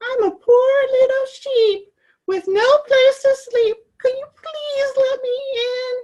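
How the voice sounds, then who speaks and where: Squeaky and extremely high-pitched, a woman's put-on character voice rings out. Her pace is fairly slow. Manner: sweet, innocent, feigning.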